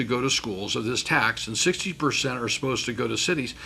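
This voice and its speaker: With lively intonation and a fairly quick pace, a man's voice comes over noticeable background noise. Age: 60s. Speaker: community college board president. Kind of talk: interview. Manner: halting, repeats words.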